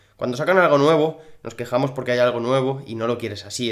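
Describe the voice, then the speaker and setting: With a Spanish accent, a man talks at a fairly quick pace. His medium-pitched voice has ordinary pitch variation. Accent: Spain Spanish. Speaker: gaming youtuber. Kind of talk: casual gaming commentary. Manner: animated.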